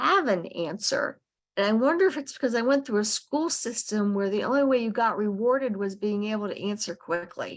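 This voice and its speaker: A woman's plain, everyday voice, fairly high in pitch, fairly quick with hardly any pauses. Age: 60s. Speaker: podcast host, homeschooling parent. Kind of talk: casual book club discussion.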